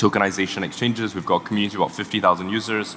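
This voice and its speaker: Speaking very fast with a fairly low pitch, a man is heard through noticeable background noise. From Singapore. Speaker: tech startup co-founder. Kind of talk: panel talk. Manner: halting.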